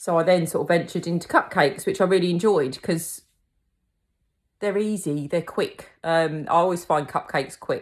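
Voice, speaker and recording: Speaking in a Kent accent, a woman keeps a moderate pace and fairly low pitch with fairly even intonation, on a very clean recording, silent background. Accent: Kentish. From England, Kent (Tenterden). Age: 40s. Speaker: cake decorating teacher and small business owner. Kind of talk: casual personal introduction. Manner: casual, many fillers (um).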